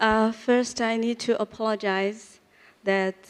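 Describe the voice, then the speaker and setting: A woman speaks in a Chinese accent at a very slow pace. Her intonation is monotone and flat. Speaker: real estate panelist. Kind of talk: conference panel discussion; reading from a script.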